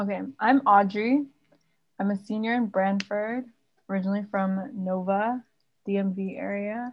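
A somewhat breathy woman at medium pitch, speaking at a fairly slow pace with fairly even intonation and long, frequent pauses. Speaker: student podcast host. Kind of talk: casual chat.

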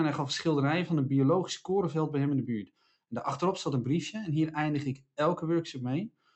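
With an ordinary speaking voice, a man talks at a fairly quick pace, his fairly high pitch showing ordinary pitch variation. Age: 40s. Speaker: podcast co-host, speaker and author. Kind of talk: casual chat.

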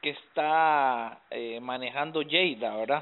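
Medium-pitched male speech at a very slow pace with fairly even intonation. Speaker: podcast host. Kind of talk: interview.

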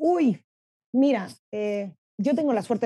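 A woman speaks at a fairly slow pace with a dark, mellow tone. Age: 30s. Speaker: marketing professional and LGBTQ activist. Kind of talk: interview.

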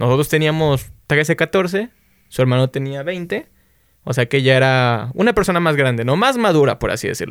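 This man has a normal speaking voice, fairly high for a man, with lively intonation and a dry, close sound with no echo. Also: moderate pace. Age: 20s. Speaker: podcast host. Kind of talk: casual chat.

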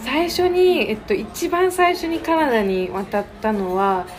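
Over noticeable background noise, a woman talks fairly slowly with very wide swings in pitch. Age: 19. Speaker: high school graduate, founder of student nonprofit. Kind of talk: casual interview. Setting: cafe.

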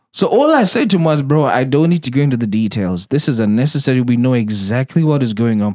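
The man talks very fast with lively intonation at a medium pitch. The recording is very clean, with a silent background. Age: 40s. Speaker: podcast host. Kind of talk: casual chat. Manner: laughs a lot.

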